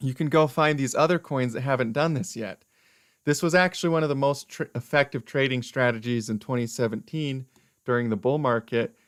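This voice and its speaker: Speech at a fairly quick pace comes through on a very clean recording with a silent background. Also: man, medium pitch for a man, ordinary pitch variation. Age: 20s. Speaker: crypto investing YouTuber. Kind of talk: live stream market analysis. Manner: animated.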